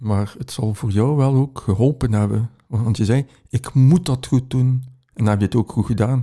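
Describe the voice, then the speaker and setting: A man speaks at a moderate pace in a medium pitch, with ordinary pitch variation. His tone is dark and mellow, and somewhat breathy. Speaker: podcast host. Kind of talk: casual interview chat.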